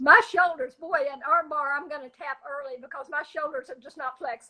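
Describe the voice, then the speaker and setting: A raised, projected voice with a bright, sharp tone, big swings in loudness, ordinary pitch variation and a fairly quick pace. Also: woman, high pitch for a woman. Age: 70s. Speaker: jiu-jitsu practitioner, grandmother. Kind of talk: interview answer.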